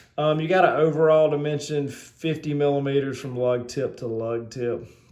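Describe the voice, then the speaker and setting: Speaking with a Southern US accent, a man keeps a moderate pace and ordinary pitch variation while audible room echo surrounds him. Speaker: watch reviewer. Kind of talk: product review. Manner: halting, many fillers; casual.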